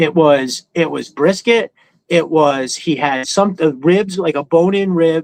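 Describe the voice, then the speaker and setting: A man's fairly high-pitched voice at a fairly slow pace, with ordinary pitch variation and dry, close sound with no echo. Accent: New York. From New York. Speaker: live stream host, toy collector. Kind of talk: casual chat. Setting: live stream. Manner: animated, casual storytelling.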